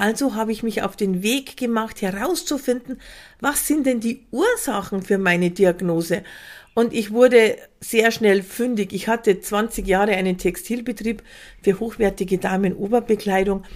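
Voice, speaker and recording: On a very clean recording with a silent background, a woman uses a normal speaking voice at a fairly high pitch, with ordinary pitch variation and a moderate pace. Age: 50s. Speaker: podcast host and prevention coach. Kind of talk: scripted monologue.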